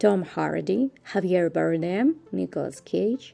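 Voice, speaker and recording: A woman with a Russian accent and very wide pitch swings. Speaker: vlogger. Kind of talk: scripted narration.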